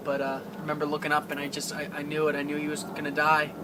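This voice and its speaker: A man is speaking with noticeable background noise in the recording. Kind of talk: paranormal investigation, emotional personal talk.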